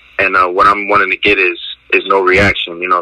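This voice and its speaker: A man talks with an American accent over noticeable background noise. The sound is dry and close, with no echo. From Trenton, New Jersey. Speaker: dog breeder. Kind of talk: interview. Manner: halting, many fillers and repetitions.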